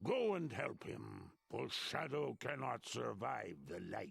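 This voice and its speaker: This is a put-on character voice from a man, raspy in texture. The pace stays fairly slow. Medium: fan dub. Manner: booming, imperious.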